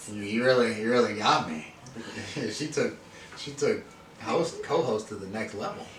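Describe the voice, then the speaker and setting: Amid noticeable background noise and audible room echo, a man speaks with lively intonation, big swings in loudness and long, frequent pauses. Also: medium pitch for a man, moderate pace. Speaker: podcast host. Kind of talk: casual chat. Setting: beauty trade show. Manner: stuttering at times.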